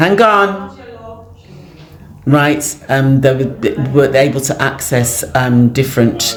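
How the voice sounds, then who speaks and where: A woman speaks very slowly in a very deep, low voice. The room echo is audible, and background noise is noticeable. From England, Afro-Caribbean community. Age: 60s. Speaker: community elder. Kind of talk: interview. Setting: community centre, on location. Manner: hesitant, many fillers.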